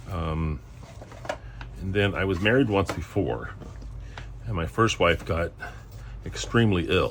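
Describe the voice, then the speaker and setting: A man with a very deep, low voice talks at a fairly slow pace with lively intonation and long, frequent pauses. Noticeable background noise runs underneath. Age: 60s. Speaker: home cooking channel host. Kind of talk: casual cooking tutorial. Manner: hesitant, many fillers.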